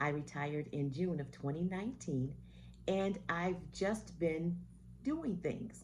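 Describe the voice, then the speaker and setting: There is audible room echo on this woman's voice. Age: 60s. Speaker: retired vlogger. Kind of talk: casual monologue to camera.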